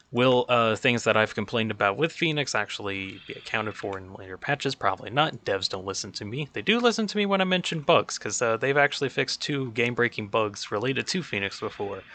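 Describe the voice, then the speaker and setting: A man talks at a very fast pace with hardly any pauses. His pitch is medium and his intonation lively. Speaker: gaming video guide creator. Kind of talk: tutorial. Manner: rambling, casual with filler words.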